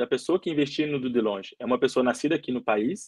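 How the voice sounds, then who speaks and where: This man's voice is fairly high, moves at a fairly quick pace, and shows ordinary pitch variation. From Belo Horizonte, Brazil. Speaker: footballer. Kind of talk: interview. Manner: halting.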